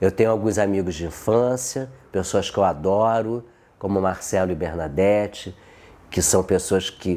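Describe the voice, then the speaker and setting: A man speaks at a fairly low pitch with a dark, mellow tone. His pace is fairly slow. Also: ordinary pitch variation. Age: 60s. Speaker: professor. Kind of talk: interview.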